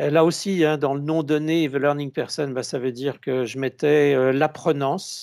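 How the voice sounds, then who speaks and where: A man's dark, mellow tone with fairly even intonation, in a very clean recording over a silent background. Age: 60s. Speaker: consultant and author, conference speaker. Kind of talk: conference talk. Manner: halting, many hesitations.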